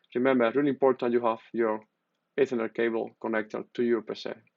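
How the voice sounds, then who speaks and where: A man speaks with a Spanish accent. His pace is fairly quick. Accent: Spanish-accented non-native English. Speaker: tech youtuber. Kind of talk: tutorial. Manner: halting, with many fillers.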